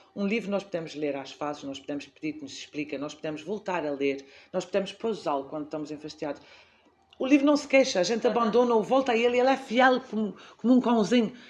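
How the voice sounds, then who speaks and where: A woman speaks at a very fast pace in a medium pitch. Her pitch swings very widely and her loudness rises and falls sharply. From Azores, Portugal. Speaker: library director, former teacher. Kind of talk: interview answer.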